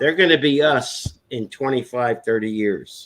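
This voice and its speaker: Medium-pitched male speech at a fairly slow pace, with ordinary pitch variation. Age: 60s. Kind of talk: casual chat. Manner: animated.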